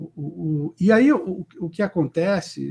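Ordinary pitch variation marks a man's voice that has a dark, mellow tone. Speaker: company founder and CEO. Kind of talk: interview. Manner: halting, many repetitions and fillers.

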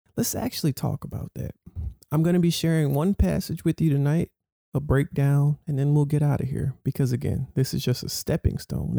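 The voice is somewhat breathy and comes at a moderate pace, dry and close with no echo. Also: man. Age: 20s. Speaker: minister leading Bible study. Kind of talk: Bible study teaching. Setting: Zoom video call. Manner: animated.

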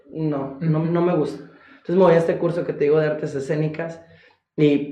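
Speaking at a fairly quick pace, a man with a fairly high pitch keeps a monotone, flat intonation amid audible room echo. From Golfo de Santa Clara, Sonora, Mexico. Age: 20s. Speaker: contemporary dancer. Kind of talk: interview conversation. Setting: studio with video cameras.

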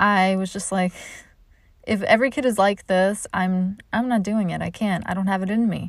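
Here is a woman in a normal speaking voice. Her pitch is medium and her intonation fairly even. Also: moderate pace. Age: 30s. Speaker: comedian and podcast host. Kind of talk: casual chat.

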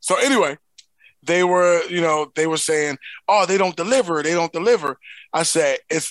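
A man's fairly high voice, dry and close with no echo, against a quiet background. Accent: American. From Philadelphia. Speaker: podcast co-host. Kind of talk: casual banter.

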